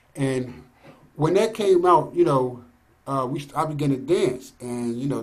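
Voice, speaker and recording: A man speaks in a medium pitch, keeping to a moderate pace. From Philadelphia. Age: 60s. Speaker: DJ. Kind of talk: casual interview. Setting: video call.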